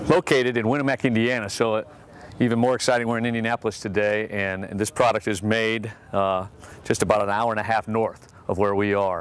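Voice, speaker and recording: A man talks at a fairly quick pace with an unremarkable speaking voice, fairly low in pitch. His intonation stays fairly even, and the sound is dry with no echo. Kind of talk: product demonstration. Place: street.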